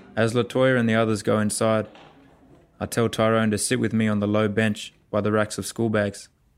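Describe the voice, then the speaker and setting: Fairly quick male speech with an Australian accent, fairly low and monotone, with very even loudness. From Central Australia, Alice Springs. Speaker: playwright and artist. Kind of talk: spoken-word storytelling.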